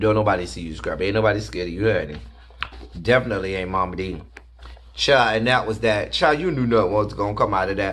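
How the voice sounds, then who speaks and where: Talking at a very fast pace, a man with a fairly low pitch and vocal fry sounds animated, his pitch varying in an ordinary way over light background noise. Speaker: reality TV reviewer and teacher. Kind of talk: angry rant; casual video review and commentary. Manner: loud, fired-up, sarcastic and insulting; animated, casual and slangy. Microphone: webcam.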